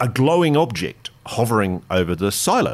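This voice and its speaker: Pitch swings very widely in this man's voice, which has vocal fry. He speaks with an Australian accent. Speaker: investigative journalist. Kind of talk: interview storytelling. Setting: studio.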